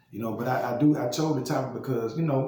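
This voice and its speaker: A man with an American accent talks at medium pitch with fairly even intonation, amid noticeable background noise and audible room echo. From Louisiana, Baton Rouge. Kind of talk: casual monologue vlog. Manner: halting, many repetitions and fillers.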